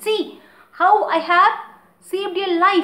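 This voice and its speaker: In a put-on character voice, squeaky and raised to project, the delivery comes at a fairly slow pace with monotone, flat intonation. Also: woman, extremely high pitch for a woman. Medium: read story.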